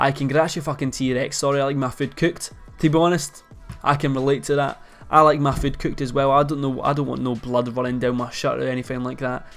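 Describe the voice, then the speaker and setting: Over faint music in the background, a man with a Scottish accent speaks at a very fast pace in monotone, flat intonation. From Scotland. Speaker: YouTuber. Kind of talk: casual talk to camera. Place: home room.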